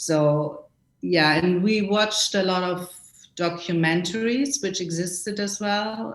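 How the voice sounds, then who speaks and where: A woman's medium-pitched voice with a German accent, at a fairly slow pace. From West Germany, small town. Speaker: costume designer. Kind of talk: interview. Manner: halting.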